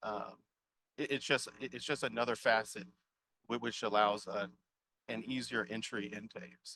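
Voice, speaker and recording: At a medium pitch and moderate pace, a man with a bright, sharp tone and vocal fry keeps fairly even intonation, with big swings in loudness and long, frequent pauses. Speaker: extension outreach specialist, conference presenter. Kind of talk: conference Q&A. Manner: halting, many repetitions and fillers.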